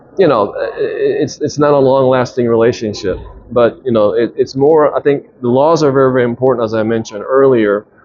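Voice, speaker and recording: A man speaks at a fairly quick pace. There is noticeable background noise behind him. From Japan, Tokyo. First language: Japanese. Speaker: businessman and investor. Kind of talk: interview. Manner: halting, many fillers and restarts.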